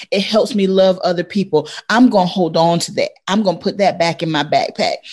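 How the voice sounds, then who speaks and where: Over a quiet background, a woman of medium pitch talks at a fairly quick pace with hardly any pauses, somewhat breathy, with ordinary pitch variation. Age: 40s. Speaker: educator and coach.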